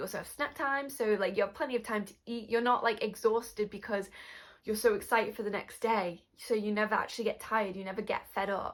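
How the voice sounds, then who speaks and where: Someone with a British accent speaks at a fairly quick pace on a very clean recording with a silent background. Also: woman. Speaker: YouTuber. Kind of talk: casual vlog chat. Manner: animated.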